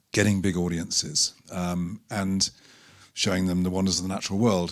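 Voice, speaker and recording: In a British accent, a man speaks with a very deep, low pitch. The recording is very clean with a silent background. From Britain. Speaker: documentary filmmaker. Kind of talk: panel talk presentation. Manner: halting, many fillers.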